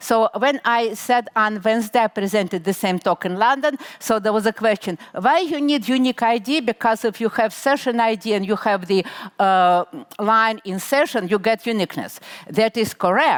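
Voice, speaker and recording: In a dry, close sound with no echo, a normal speaking voice goes at a moderate pace with ordinary pitch variation. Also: woman, fairly high pitch for a woman. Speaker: conference speaker. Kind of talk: technical talk.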